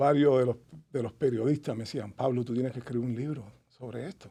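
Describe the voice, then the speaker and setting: At a moderate pace, a man speaks with medium pitch and a dark, mellow tone. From Cuba, Havana. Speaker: author and Cuban emigrant. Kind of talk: casual interview chat.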